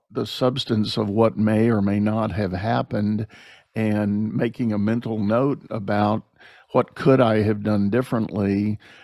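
A man with an ordinary speaking voice talks at a fairly slow pace, his pitch fairly low and his intonation fairly even. The recording is very clean, with a silent background. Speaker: podcast host and leadership coach. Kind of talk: casual interview. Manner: conversational, friendly.

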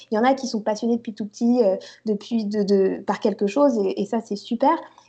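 A woman speaks at a fairly quick pace with a fairly high pitch and a dark, mellow tone. Her intonation stays fairly even against a quiet background. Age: 20s. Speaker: coding student, career changer. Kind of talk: interview. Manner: halting.

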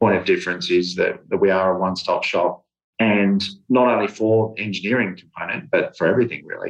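Here a man talks with an Australian accent. His pace is fairly quick. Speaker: property developer. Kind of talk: radio interview.

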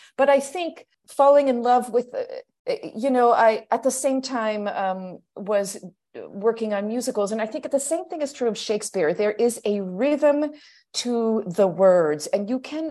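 With an American accent, a woman talks at a fairly high pitch in a dark, mellow tone with lively intonation. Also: fairly slow pace. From US, Pittsburgh. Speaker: stage actor. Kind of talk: interview.

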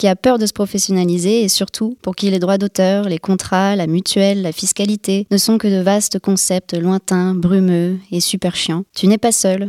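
The recording is very clean, with a silent background. A woman speaks at medium pitch and a moderate pace, in a monotone, flat delivery. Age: 20s. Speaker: screenwriting intern. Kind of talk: scripted narration.

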